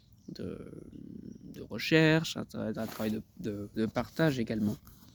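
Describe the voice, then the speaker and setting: Lively in intonation, a man speaks with a Spanish accent at a medium pitch. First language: Spanish (speaking French). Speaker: translator. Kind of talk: self-promotional video talk. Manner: halting, many hesitations and repetitions.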